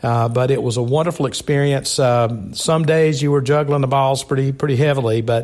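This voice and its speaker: This man speaks with a Southern US accent at a moderate pace. His pitch is medium and his intonation fairly even. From South Carolina. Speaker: fraternal organization leader. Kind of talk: interview.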